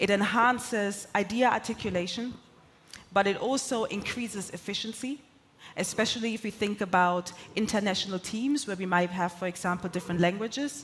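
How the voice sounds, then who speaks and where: The voice carries ordinary pitch variation and runs at a fairly quick pace. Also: woman, medium pitch for a woman. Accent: German. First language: German. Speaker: corporate sales executive and conference speaker. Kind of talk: conference keynote talk.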